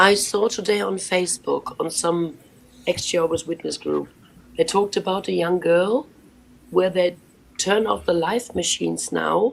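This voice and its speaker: Talking at a moderate pace, a woman speaks with a German accent. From Germany. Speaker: former Jehovah's Witness. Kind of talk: live panel discussion.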